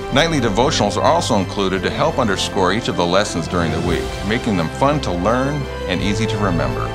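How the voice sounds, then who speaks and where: A man talking at a fairly quick pace over clear music in the background. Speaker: animated series creator. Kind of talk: promotional talk to camera. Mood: warm, sincere. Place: home room.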